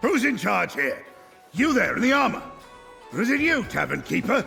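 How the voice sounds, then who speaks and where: Over faint music in the background, a man performs a put-on character voice. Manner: demanding, imposing.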